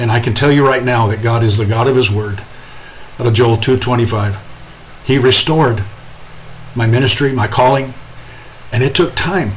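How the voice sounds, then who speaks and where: Over noticeable background noise and audible room echo, a man talks at medium pitch and a moderate pace with fairly even intonation. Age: 60s. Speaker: pastor.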